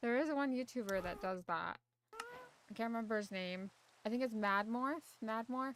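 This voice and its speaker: A quiet woman's voice at a fairly high pitch, with ordinary pitch variation and a moderate pace. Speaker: gaming streamer. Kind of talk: casual chat. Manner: soft-spoken.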